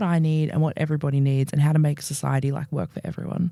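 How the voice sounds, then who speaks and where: Someone talks at a very fast pace with an Australian accent. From Australia, Melbourne. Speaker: podcast co-host. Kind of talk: casual chat. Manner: animated.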